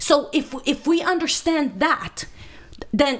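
A woman speaks with a Romanian accent. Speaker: minister, speaker. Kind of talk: podcast interview answer. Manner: fast. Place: studio. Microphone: studio mic.

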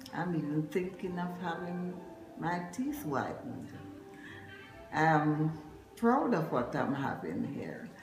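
With audible room echo and clear music playing behind her, a woman speaks in very wide pitch swings. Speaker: retired dental patient. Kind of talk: patient testimonial. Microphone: phone near.

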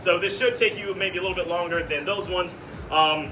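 Over clearly noticeable background noise, the voice rushes along very fast. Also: man. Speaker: fitness coach. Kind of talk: workout briefing to class. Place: gym. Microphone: camera far.

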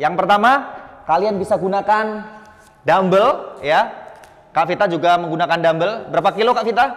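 Using ordinary pitch variation, a man talks at a moderate pace in a high voice. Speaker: fitness instructor. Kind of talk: tutorial. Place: hall.

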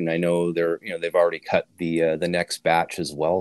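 Here a man talks at a fairly quick pace with a very deep, low pitch. The background is quiet, and the sound is dry with no echo. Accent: Canadian. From Canada, Winnipeg; Manitoba, Canada. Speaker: audio podcast host. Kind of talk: casual chat. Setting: audio shop. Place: home room. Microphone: video call.

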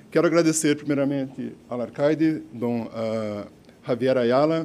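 In a Brazilian accent, a man speaks at a medium pitch and a moderate pace, his tone dark and mellow. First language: Portuguese (speaking Spanish). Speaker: company director accepting award. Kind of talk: acceptance speech. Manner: halting, mixing Portuguese and Spanish. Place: hall. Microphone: podium.

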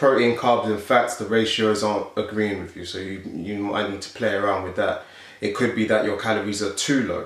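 With audible room echo, a man in a South London accent talks at a fairly quick pace in a fairly low voice, his intonation fairly even but his loudness swinging widely. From South London, England. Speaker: fitness youtuber and bodybuilder; fitness youtuber. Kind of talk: casual Q&A vlog. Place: home room.

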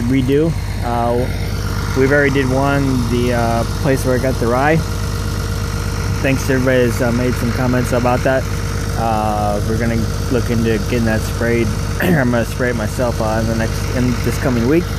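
Over loud background noise, the speech moves at a moderate pace with a dry sound and no echo. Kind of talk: casual vlog chat. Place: open country. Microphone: phone near.

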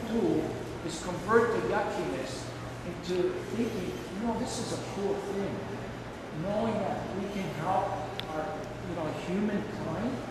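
A man at a fairly slow pace with long, frequent pauses and ordinary pitch variation, amid loud background noise and audible room echo. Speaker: guest. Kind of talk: talk to students. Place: hall.

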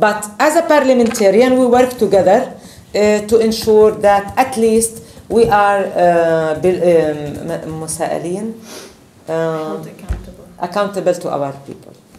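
A woman with an Arabic accent speaks at a very slow pace. Light background noise and audible room echo surround her voice. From Palestine. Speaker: politician. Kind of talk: speech. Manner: halting. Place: meeting room. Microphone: camera far.

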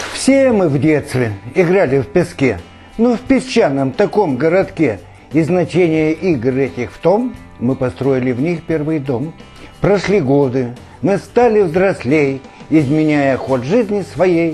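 The speaker uses lively intonation at a very slow pace, with faint music in the background. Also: man, fairly high pitch for a man. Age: 70s. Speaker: amateur poet. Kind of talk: poetry reading. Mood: calm, proud, earnest. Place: home room. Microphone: lapel.

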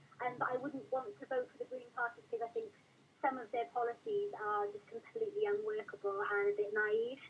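A woman with a Welsh accent at a fairly quick pace, high-pitched with very wide pitch swings and big swings in loudness, over light background noise. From South Wales. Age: 20s. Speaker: caller. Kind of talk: radio phone-in. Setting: phone call. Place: studio.

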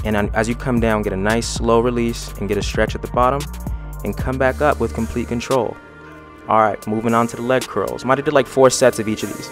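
With music in the background, a man talks at a fairly quick pace in a dry recording with no echo. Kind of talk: tutorial voice-over commentary.

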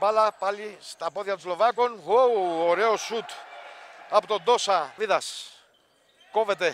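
A man with a high pitch talks at a very slow pace. He leaves long, frequent pauses. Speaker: sports commentator. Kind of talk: live sports commentary. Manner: shouts goals with English exclamations, then turns subdued.

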